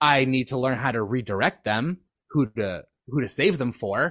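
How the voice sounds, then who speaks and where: Speaking with a Canadian accent, a man with an ordinary speaking voice talks at a moderate pace in a medium pitch with ordinary pitch variation, the sound dry and close with no echo. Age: 20s. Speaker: podcast guest. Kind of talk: casual chat.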